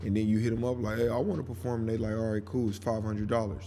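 With an American accent, a man speaks in a relaxed tone at a fairly low pitch, and audible room echo is present. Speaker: podcast host, local music. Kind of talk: casual monologue. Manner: relaxed, conversational.

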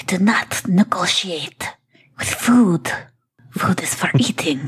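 Whispering, a woman performs a put-on character voice. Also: fairly slow pace. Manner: shouting, fierce.

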